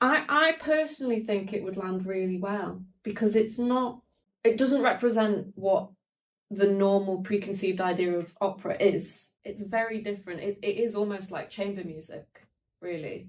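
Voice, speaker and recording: A woman speaks with a Manchester accent. Her pitch is medium, her pitch variation ordinary and her pace moderate. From northern England, Peak District (Glossop) and South Manchester. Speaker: opera singer. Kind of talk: podcast conversation.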